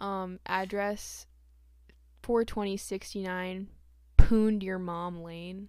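Very slowly, with long, frequent pauses, a woman speaks at a medium pitch in a monotone, flat intonation. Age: 20s. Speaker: podcast co-host. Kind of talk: casual banter. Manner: loud.

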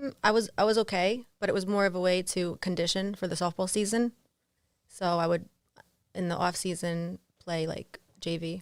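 Speaking in an American accent, a woman at medium pitch keeps a moderate pace and fairly even intonation. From New Jersey. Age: 30s. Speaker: Instagram model and art dealer. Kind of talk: casual interview. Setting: studio.

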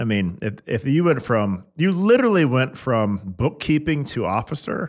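Speaking with an American accent, a man talks at a moderate pace and a medium pitch, with very wide pitch swings and hardly any pauses. The recording is very clean, with a silent background. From Kansas City. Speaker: podcast host. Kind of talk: interview.

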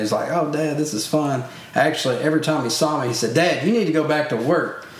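Speech from a man, with audible room echo and noticeable background noise around it. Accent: Louisiana. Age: 30s. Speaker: parent and camp hunting instructor. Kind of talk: casual chat.

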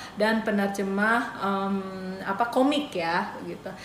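With an Indonesian accent, a woman speaks at a very slow pace with lively intonation, amid noticeable background noise and audible room echo. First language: Indonesian (speaking Japanese). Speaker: YouTube channel host, Japanese teacher. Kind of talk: casual interview chat.

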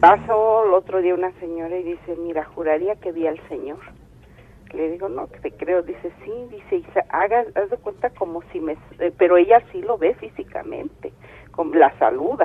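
A woman speaks at a moderate pace in a medium pitch with ordinary pitch variation. Her loudness swings widely. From State of Mexico. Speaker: caller. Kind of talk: phone-in storytelling.

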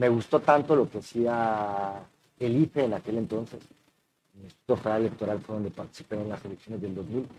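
A man's dark, mellow tone sits at a medium pitch as he talks at a fairly quick pace. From Mexico City. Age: 40s. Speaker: election official. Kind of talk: interview.

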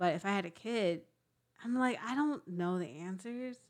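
A woman with lively intonation. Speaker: podcast co-host. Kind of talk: casual chat.

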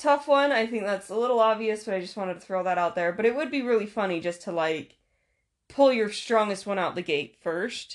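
A woman's normal speaking voice, medium in pitch, with lively intonation, a fairly quick pace and a quiet background. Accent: American. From Utah. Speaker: podcast host. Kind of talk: casual chat.

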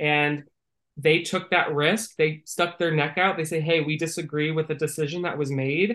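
Speaking at a moderate pace with a fairly high pitch and fairly even intonation, a man with an American accent has a bright, sharp tone. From Northern California. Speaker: music marketing executive. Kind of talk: interview.

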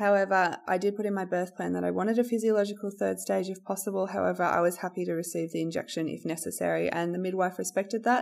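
A woman with an Australian accent, talking at a very fast pace with hardly any pauses. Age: 30s. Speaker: podcast host. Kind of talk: personal storytelling. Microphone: poor audio quality.

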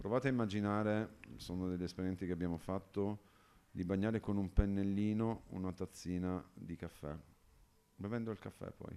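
A man with a dark, mellow tone and fairly low pitch speaks at a moderate pace, his intonation fairly even. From Calabria, southern Italy. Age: 50s. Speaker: liqueur producer and entrepreneur. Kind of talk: casual interview. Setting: at the company premises in Turin.

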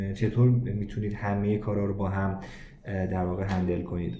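A man talks fairly quickly, and his voice carries audible room echo. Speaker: podcast host. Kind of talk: interview. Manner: formal.

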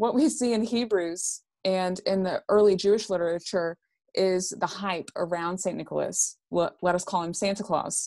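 A woman's normal speaking voice, medium in pitch, with ordinary pitch variation at a moderate pace over a quiet background. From Texarkana, Texas. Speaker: Bible scholar. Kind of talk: interview on theology.

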